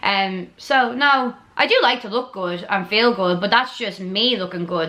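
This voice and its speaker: A woman's animated tone rises over noticeable background noise. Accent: strong Dublin. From Ireland, Dublin. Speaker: YouTuber. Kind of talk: casual Q&A chat.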